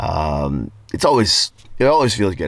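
Very deep and low in pitch, a man's voice comes through dry, with no echo. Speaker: vlogger. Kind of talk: casual vlog chat. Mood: relaxed, content. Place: car. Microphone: phone near.

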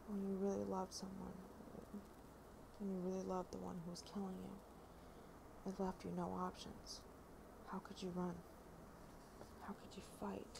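A soft-spoken woman whispering at a moderate pace, with long, frequent pauses and noticeable background noise. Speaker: ASMR creator. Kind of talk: ASMR reading of a novel preface. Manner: whispered, soft. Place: home room. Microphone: earbuds.

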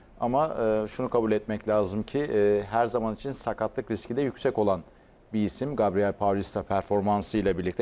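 Moderately paced speech in a dark, mellow tone, with ordinary pitch variation. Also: man. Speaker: sports show host. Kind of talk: casual chat. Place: studio. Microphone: lapel.

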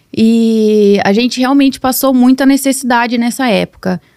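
Here a woman talks at a fairly slow pace. Nothing disturbs the quiet background. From Brazil, São Paulo state (Nova Odessa); São Paulo state, Brazil. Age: 20s. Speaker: social media marketer and mentor; podcast guest. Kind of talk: casual interview chat. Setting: studio. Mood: reflective, personal storytelling. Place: studio. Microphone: studio mic.

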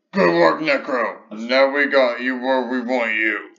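This man puts on a character voice at medium pitch. He talks at a fairly slow pace. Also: ordinary pitch variation. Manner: put-on, gruff.

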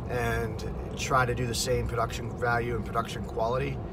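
Loud background noise surrounds a man speaking at a moderate pace, in a dry sound with no echo. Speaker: driver vlogger. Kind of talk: casual vlog chat. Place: car. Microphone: phone near.

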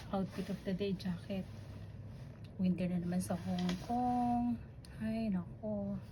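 A woman speaks at a very slow pace with a very deep, low pitch, very wide pitch swings, very even loudness and long, frequent pauses. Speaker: domestic helper vlogger. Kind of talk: casual vlog. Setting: outdoors, walking.

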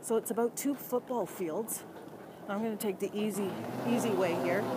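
Against noticeable background noise, a woman talks at a moderate pace in a dry sound with no echo. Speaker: livestreamer. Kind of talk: casual livestream chat, reading viewer comments aloud. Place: tunnel cave. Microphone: phone near.

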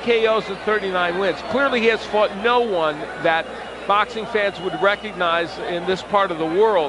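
A man with a high pitch speaks at a fairly slow pace with ordinary pitch variation, the sound dry with no echo but with noticeable background noise. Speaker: boxing commentator. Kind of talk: live commentary. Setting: ringside at a bull ring arena. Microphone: headset.

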